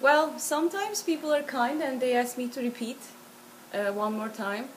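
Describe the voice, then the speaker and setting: A high-pitched woman with a Turkish accent and lively intonation. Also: moderate pace. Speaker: interviewee. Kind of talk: interview.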